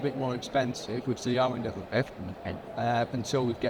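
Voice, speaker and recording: A man talks at a fairly quick pace, and noticeable background noise can be heard. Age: 60s. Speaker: builder. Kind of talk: panel discussion. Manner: halting.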